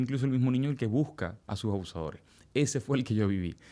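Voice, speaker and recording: A man with a Venezuelan accent at a fairly quick pace, ordinary pitch variation, on a very clean recording with a silent background. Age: 40s. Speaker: testimony guest. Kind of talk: testimony.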